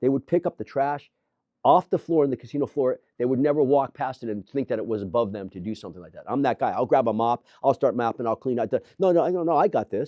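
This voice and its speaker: A man's animated, medium-pitched voice races at a very fast pace with lively intonation and big swings in loudness. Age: 60s. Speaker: gym owner and entrepreneur. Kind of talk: interview.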